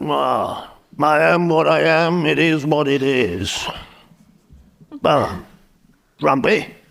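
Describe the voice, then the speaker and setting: A man's raspy put-on character voice, fairly high in pitch, very slow and very even in loudness, with long, frequent pauses. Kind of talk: in-character improvised interview. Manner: grumpy, curt.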